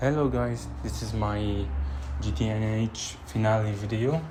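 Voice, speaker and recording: A man with a fairly low voice speaks amid audible room echo. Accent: non-native. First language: not English (English is third language). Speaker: gaming youtuber. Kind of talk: gameplay commentary, base tour. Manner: halting, frequent fillers.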